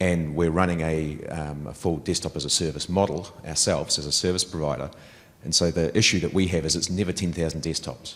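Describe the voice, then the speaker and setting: A man with a New Zealand accent, very deep and low in pitch, at a fairly quick pace with fairly even intonation. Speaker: audience member asking a question. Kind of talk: conference Q&A question.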